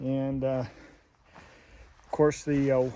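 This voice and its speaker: A man's fairly high voice in a relaxed tone at a fairly slow pace. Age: 60s. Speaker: RV travel vlogger. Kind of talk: casual vlog narration while walking. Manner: relaxed, many filler words.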